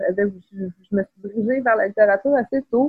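Fairly high-pitched woman's voice, somewhat breathy, at a moderate pace with ordinary pitch variation. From Quebec City, Quebec (Beauport). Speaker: writer. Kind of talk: casual interview.

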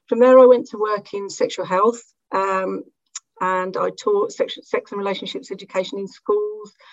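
A woman with an unremarkable speaking voice talks at a moderate pace and medium pitch, her intonation fairly even and her loudness swinging widely. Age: 40s. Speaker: academic researcher. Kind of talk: panel discussion.

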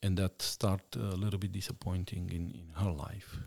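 The speaker has a Romanian accent and a fairly slow pace. The sound is dry and close with no echo, on a very clean recording with a silent background. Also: man. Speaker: missionary. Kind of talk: interview testimony.

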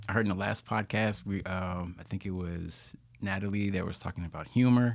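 A man with an American accent talks at a fairly quick pace in a fairly low pitch, using a plain, everyday voice. The recording is very clean with a silent background. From Richmond, Virginia. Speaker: graphic designer. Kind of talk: casual chat.

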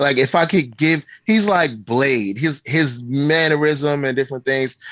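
An ordinary speaking voice with an American accent and ordinary pitch variation carries this clip. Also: man, quiet background. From Baltimore, US. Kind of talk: casual interview. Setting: video call.

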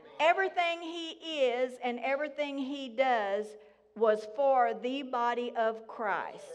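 A woman with a Southern US accent speaks in a high voice with ordinary pitch variation. Her pace is very slow. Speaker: guest speaker at church. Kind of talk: sermon / testimony. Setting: church with congregation.

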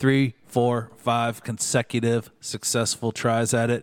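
In a normal speaking voice, a man talks at medium pitch and a moderate pace. The sound is dry and close with no echo, on a very clean recording with a silent background. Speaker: beer podcast co-host. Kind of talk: casual chat. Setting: studio.

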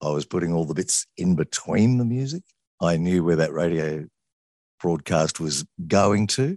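A man with an Australian accent and a very deep, low pitch, ordinary pitch variation, a moderate pace, long, frequent pauses, and a dry, close sound with no echo. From Sydney, Australia. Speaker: radio presenter. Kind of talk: interview.

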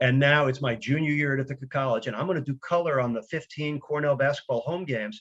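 A man with an American accent talks at a very fast pace in a fairly high, energetic voice, with ordinary pitch variation and hardly any pauses. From New York. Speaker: radio play-by-play announcer. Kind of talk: interview.

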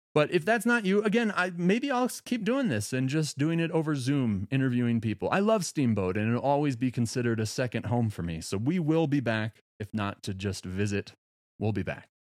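In a very clean recording with a silent background, a man at a medium pitch talks at a fairly quick pace with very wide pitch swings and hardly any pauses. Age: 30s. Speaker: podcast host. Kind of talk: casual monologue.

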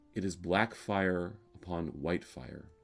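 A man speaks in a calm tone. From US South, Alabama. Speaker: rabbi. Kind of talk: sermon. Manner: calm, measured.

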